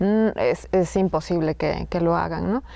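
This woman talks at a fairly slow pace. The sound is dry with no echo, against a quiet background. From Sierra Norte of Oaxaca, Mexico (Zapotec community); Oaxaca, Mexico. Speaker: filmmaker; guest. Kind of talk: casual conversation. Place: hall.

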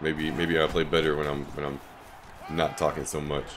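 A man talks at an extremely low pitch with little pitch movement and a fairly bright tone. His pace is moderate, with faint background noise behind him.

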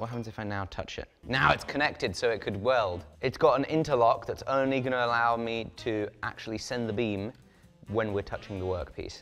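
A man talks at a fairly quick pace over faint background music. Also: ordinary pitch variation. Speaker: maker demonstrating a tool. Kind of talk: casual tutorial commentary. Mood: playful, curious. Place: workshop.

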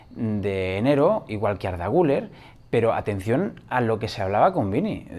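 Here a man talks at a moderate pace. He has a fairly low pitch and lively intonation. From Spain, Madrid. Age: 40s. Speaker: football YouTuber. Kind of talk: casual vlog commentary. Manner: animated. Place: home room. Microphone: lapel.

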